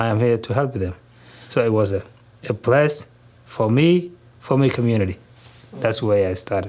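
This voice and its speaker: With a Somali accent, a man speaks at a moderate pace and medium pitch, using ordinary pitch variation and long, frequent pauses. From southern Somalia, Kismayo. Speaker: grocery store owner and community leader. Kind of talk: interview. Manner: halting.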